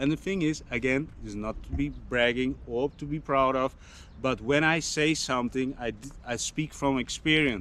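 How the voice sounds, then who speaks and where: A man speaks in a bright, sharp tone. He talks with a Dutch accent. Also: medium pitch for a man, ordinary pitch variation, moderate pace. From Netherlands. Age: 40s. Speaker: fitness vlogger. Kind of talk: casual vlog monologue. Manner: halting, with many fillers and restarts.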